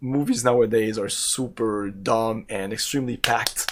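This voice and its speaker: A man talks with a strong French Canadian accent and ordinary pitch variation. There is noticeable background noise. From Quebec, Canada. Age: 40s. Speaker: video game streamer. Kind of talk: live gameplay stream chat. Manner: casual, halting with repetitions.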